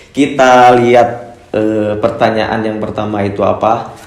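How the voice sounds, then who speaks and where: At a very slow pace, a man with a medium pitch speaks in a flat monotone, with audible room echo. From Cianjur, West Java, Indonesia. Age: 20s. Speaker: motorbike racer and YouTuber. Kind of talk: casual Q&A vlog. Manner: hesitant, many fillers.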